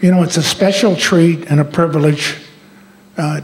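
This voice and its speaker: Fairly even intonation in an American accent at a moderate pace, over noticeable background noise. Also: man. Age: 70s. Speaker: retired school superintendent. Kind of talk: rally speech. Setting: school auditorium rally with audience.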